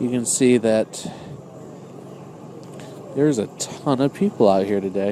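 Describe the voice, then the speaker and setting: A man delivers his words fairly slowly while noticeable noise fills the background. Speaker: ice fisherman. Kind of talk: casual outdoor vlog talk to camera. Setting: outdoors.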